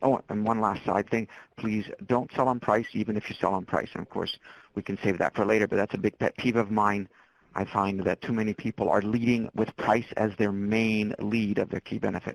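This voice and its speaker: A man speaks in a fairly low pitch with monotone, flat intonation. The sound is dry and close, with no echo. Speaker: marketing and entrepreneurship speaker. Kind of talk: webinar presentation. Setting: webinar. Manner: fast. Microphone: cutting in and out.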